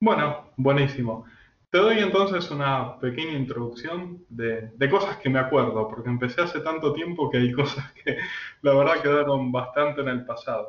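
A man with an ordinary speaking voice, fairly high in pitch with ordinary variation, at a moderate pace. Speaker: AI and algorithmic trading expert. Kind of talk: interview.

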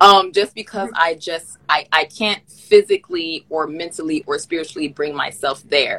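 In a dry, close sound with no echo, a woman with an American accent and a fairly low voice, an unremarkable speaking voice, speaks at a moderate pace with hardly any pauses and ordinary pitch variation. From Miami, Florida, US. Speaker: podcast host. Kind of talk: casual chat. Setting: video call.

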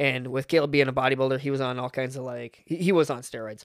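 Speaking at a very fast pace, a man with a medium-pitched voice keeps his intonation fairly even, captured in a very clean recording with a silent background and a dry, close sound with no echo. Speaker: podcast guest. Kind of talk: casual chat. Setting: studio.

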